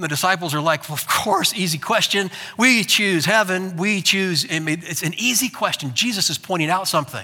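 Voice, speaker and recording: Raised and projected, a man's high-pitched voice sounds bright and sharp, moving at a fairly quick pace with hardly any pauses and ordinary pitch variation. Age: 50s. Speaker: pastor. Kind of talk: sermon.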